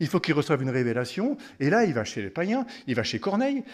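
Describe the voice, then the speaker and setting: A man talks at a fairly quick pace in a high voice, his pitch swinging very widely. The background is quiet. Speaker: preacher. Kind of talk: sermon. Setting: family camp gathering. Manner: teaching, explanatory, conversational; earnest, devout. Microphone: podium.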